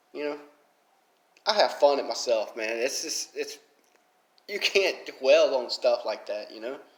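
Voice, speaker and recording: With a strong Southern accent, a man talks at a fairly slow pace, leaving long, frequent pauses, and his loudness swings widely. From Alabama, US South. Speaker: mobile game YouTuber. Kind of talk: casual commentary vlog.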